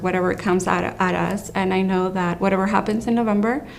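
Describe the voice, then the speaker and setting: Room echo is audible around a woman's voice. Her intonation is fairly even. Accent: American. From came to the US young, grew up in the States. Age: 30s. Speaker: immigrant rights organizer. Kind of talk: testimony.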